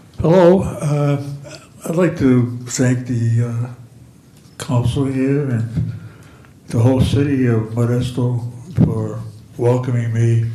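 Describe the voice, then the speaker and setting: Through noticeable background noise and audible room echo, a man speaks at a very slow pace with fairly even intonation and long, frequent pauses. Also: medium pitch for a man. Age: 80s+. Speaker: senior center participant. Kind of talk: public comment at council meeting. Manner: halting, many repetitions.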